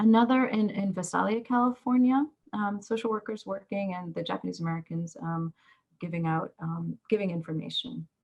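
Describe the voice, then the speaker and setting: Medium pitch and a somewhat breathy quality in a woman's voice. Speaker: professor of social work. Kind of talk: lecture. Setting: video call. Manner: halting, many fillers.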